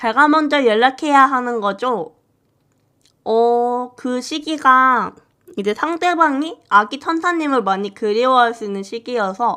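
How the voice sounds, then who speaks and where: Slow-paced at a fairly unhurried rate, a woman with a high voice and a bright, sharp tone uses lively intonation. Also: quiet background. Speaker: fortune teller. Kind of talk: live stream chat. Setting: live stream.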